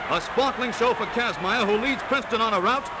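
Ordinary pitch movement at a fairly quick pace, noticeable noise behind it. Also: man. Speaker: newsreel narrator. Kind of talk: newsreel sports commentary. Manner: brisk, lively.

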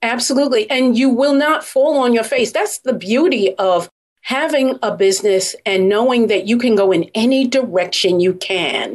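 With an American accent, a woman speaks in a normal speaking voice, fairly high and lively in intonation, at a moderate pace with hardly any pauses and very even loudness. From Brooklyn, New York. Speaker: gift basket business expert and author. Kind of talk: interview.

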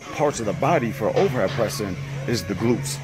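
Clear music plays in the background while a man speaks at a moderate pace. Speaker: fitness vlogger. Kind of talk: tutorial. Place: gym. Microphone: phone near.

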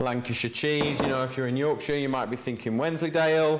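The speaker is a man with a fairly quick pace and ordinary pitch variation. Light background noise is present. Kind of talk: cooking tutorial. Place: kitchen.

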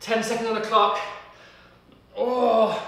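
A man is speaking. Strong room echo surrounds his voice. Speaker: fitness trainer. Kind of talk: workout instruction. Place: home room.

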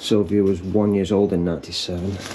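At a fairly quick pace, a man speaks in a low, dark, mellow voice with little pitch movement over faint background noise.

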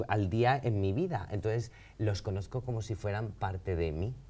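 A man speaks at a fairly slow pace in a dark, mellow tone. His voice is somewhat breathy, with ordinary pitch variation. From Valencia, Spain; Spain. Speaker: painter; interview guest. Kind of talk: interview conversation. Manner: halting, many fillers. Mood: relaxed, friendly, smiling. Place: studio.

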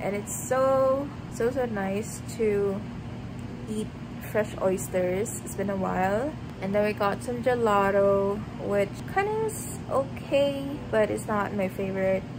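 A woman talks at a very slow pace over noticeable background noise. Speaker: vlogger. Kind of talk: casual vlog chat. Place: home room. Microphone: phone near.

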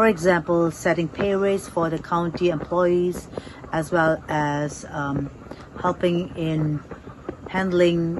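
Over noticeable background noise, a woman with a fairly low pitch speaks in a monotone, flat intonation at a very slow pace with long, frequent pauses. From India, grew up in Shillong, Meghalaya (Naga family); India. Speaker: local election candidate; election candidate. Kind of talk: interview. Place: garden.

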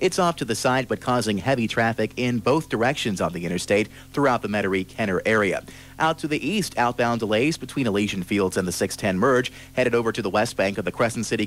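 A man at a very fast pace, with ordinary pitch variation and a dry sound with no echo. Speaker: radio traffic reporter. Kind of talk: radio traffic report. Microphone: old recording.

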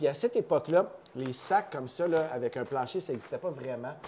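The speech moves at a moderate pace. Light background noise can be heard. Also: man. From Quebec. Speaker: coffee company co-founder. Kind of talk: casual chat. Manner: animated. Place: office.

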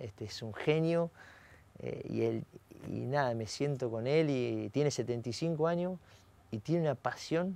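A man speaks very slowly with long, frequent pauses, ordinary pitch variation and a dark, mellow tone. The recording sounds dry, with no echo. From Argentina, Salto, Buenos Aires province; Buenos Aires province, Argentina. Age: 40s. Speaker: racing driver; guest. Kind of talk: interview. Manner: halting, many fillers. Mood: relaxed, reflective, smiling. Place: studio. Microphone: lapel.

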